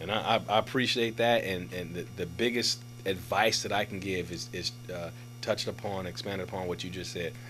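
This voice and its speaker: Music plays behind a man with an American accent who talks at a fairly quick pace in a fairly low pitch with lively intonation. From Oakland, California. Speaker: police captain. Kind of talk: casual interview. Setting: studio.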